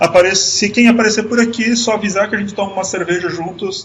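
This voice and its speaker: A high-pitched male voice at a fairly quick pace, with audible room echo. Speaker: IT manager giving a tech talk. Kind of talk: online conference talk. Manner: halting, with many restarts.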